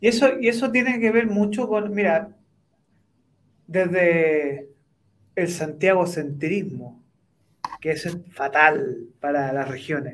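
A man's high-pitched voice at a very slow pace, with long, frequent pauses and audible room echo. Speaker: co-host and lecturer. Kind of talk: interview. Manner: hesitant, many fillers.

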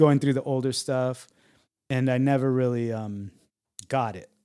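At a moderate speed, a man talks in a medium pitch, his pitch varying in an ordinary way. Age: 40s. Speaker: podcast co-host. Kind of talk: casual chat.

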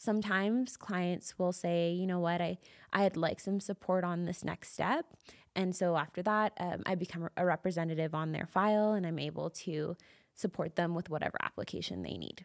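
A woman with a Canadian accent speaks at a fairly low pitch and a moderate pace, with fairly even intonation. The recording is very clean with a silent background, and the sound is dry and close with no echo. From Calgary, Canada. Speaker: immigration lawyer. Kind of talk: interview. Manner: halting.

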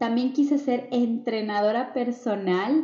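Very slowly and somewhat breathily, a woman speaks. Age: 30s. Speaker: podcast host, digital entrepreneur. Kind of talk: motivational monologue.

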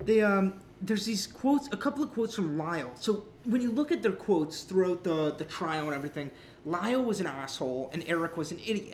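With noticeable background noise behind it, the speech races along very fast. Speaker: comedy podcast host. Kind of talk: casual comedy podcast banter with insult roast jokes. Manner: bantering, joking, playful and sarcastic.

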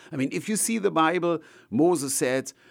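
In a German accent, a man speaks at a moderate pace with vocal fry and very wide pitch swings, recorded very cleanly against a silent background. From Germany. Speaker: evangelist and ministry leader. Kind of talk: interview. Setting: studio.

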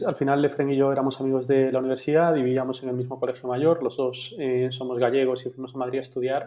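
A man speaks at a fairly quick pace in a medium-pitched voice with monotone, flat intonation. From Spain, Galicia (Vigo). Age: 30s. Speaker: food startup founder. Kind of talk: casual interview.

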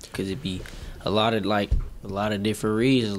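A man's fairly low voice rushes along at a very fast pace against noticeable background noise. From Milwaukee, Wisconsin. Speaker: rapper. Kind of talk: casual interview.

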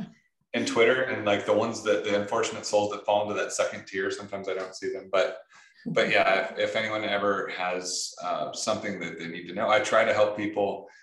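A man talks at a fairly quick pace with an American accent. Room echo is audible around his voice. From Michigan. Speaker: software engineer, open-source project lead. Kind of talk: casual interview.

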